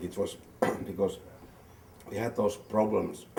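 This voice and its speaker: A male speaker talks at an even, middling pace while clear background noise runs underneath. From Finland. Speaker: film producer. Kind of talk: interview.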